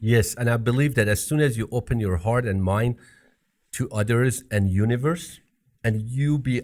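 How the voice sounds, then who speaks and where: On a very clean recording with a silent background, a somewhat breathy voice with a non-native accent moves at a moderate pace with lively intonation. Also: man. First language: not English. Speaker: podcast co-host. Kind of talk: casual chat.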